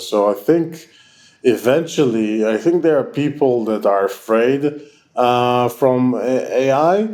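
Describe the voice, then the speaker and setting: A man with an Israeli accent speaks at medium pitch with ordinary pitch variation. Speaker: tech company founder and CEO. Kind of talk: interview. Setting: online call. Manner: halting, many fillers.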